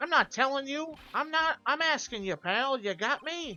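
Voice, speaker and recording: A woman's put-on character voice at a moderate pace. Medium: game stream. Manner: bumbling, flustered.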